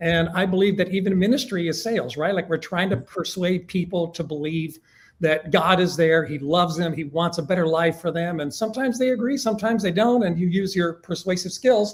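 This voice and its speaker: A man with a high pitch speaks at a fairly quick pace with hardly any pauses. His pitch variation is ordinary. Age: 60s. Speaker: business owner. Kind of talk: interview.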